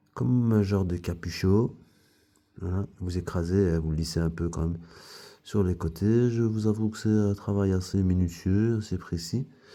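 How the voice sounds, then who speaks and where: In a dark, mellow tone, a man with a very deep, low pitch speaks at a fairly slow pace with fairly even intonation. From Belgium, foreign family background. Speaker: craftsman / DIY youtuber. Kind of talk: tutorial. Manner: casual, hesitant with many fillers.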